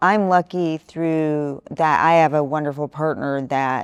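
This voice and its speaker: Over music in the background, a woman talks with ordinary pitch variation in a dry, close sound with no echo. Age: 50s. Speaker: debate panelist, former teacher. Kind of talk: casual debate discussion.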